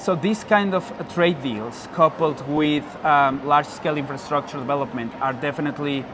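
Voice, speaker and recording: A man with a fairly high pitch amid noticeable background noise. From Mexico. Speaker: university lecturer, researcher. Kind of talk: interview answer.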